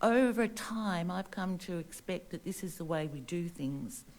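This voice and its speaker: With an Australian accent, a woman talks in a dark, mellow tone with lively intonation. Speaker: local resident. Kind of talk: public statement. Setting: council meeting. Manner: formal.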